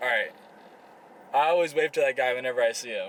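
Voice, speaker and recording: A man's fairly high voice moves with lively intonation, and noticeable background noise runs behind it. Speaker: fitness vlogger. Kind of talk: casual vlog chat. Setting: gym.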